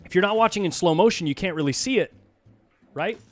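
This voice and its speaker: A loud man with lively intonation, on a very clean recording with a silent background. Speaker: pool commentator. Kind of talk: live commentary. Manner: animated.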